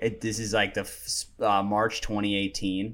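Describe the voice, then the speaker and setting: A man with an American accent on a very clean recording with a silent background. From New York City. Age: 20s. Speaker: YouTuber. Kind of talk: casual chat.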